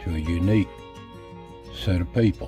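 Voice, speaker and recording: A man with a Southern Appalachian accent talks at a fairly slow pace with very wide pitch swings. Music plays in the background. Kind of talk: documentary narration.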